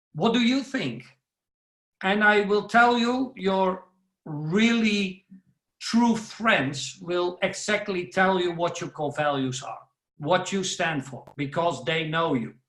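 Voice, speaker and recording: A man with a Dutch accent speaks very slowly and loudly in a high voice, his intonation lively. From Netherlands. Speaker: professional speaker. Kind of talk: webinar talk.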